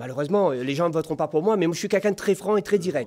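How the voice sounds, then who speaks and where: Lively intonation marks this man's speech. The background is quiet. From Réunion. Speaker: mayoral candidate; candidate. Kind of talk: political debate; political debate answer. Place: studio. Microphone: studio mic.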